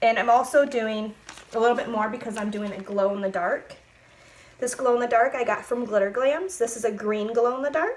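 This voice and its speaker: At a fairly quick pace and with ordinary pitch variation, the speech comes through over noticeable background noise. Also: woman, fairly high pitch for a woman. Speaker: crafter making epoxy tumblers. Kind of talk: tutorial. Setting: home craft room. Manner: casual, with many fillers.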